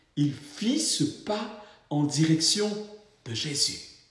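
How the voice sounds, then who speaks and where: A man's voice with audible room echo. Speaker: pastor. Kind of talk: sermon.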